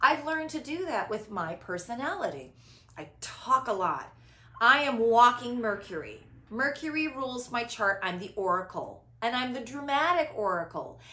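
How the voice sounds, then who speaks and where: A woman's loud, high-pitched voice in an animated tone, with very wide pitch swings at a moderate pace. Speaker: spiritual podcast host. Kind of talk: casual chat. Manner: animated, big inflection.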